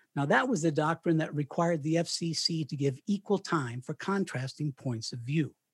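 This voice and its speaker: Speaking in a General American accent, a man uses a normal speaking voice, fairly high in pitch with ordinary pitch variation, at a moderate pace with hardly any pauses. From Colorado (Canon City). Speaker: retired radio broadcaster and author. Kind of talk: interview. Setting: remote call from home.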